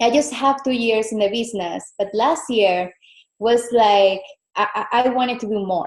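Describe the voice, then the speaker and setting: A woman with a Venezuelan accent speaks at a fairly high pitch. Her pace is moderate and her pitch variation ordinary. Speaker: fitness business coach. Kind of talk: guest presentation on call. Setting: video call from home.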